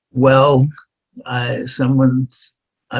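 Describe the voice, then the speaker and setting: A somewhat breathy male voice at medium pitch with an American accent. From New York City (Far Rockaway, Queens). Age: 90s. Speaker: violinist. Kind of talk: interview.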